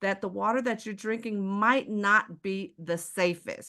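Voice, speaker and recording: Bright and sharp, a woman's medium-pitched voice comes across animated at a fairly slow pace. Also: quiet background. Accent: American. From Texas, Houston. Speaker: sales presenter. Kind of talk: sales pitch.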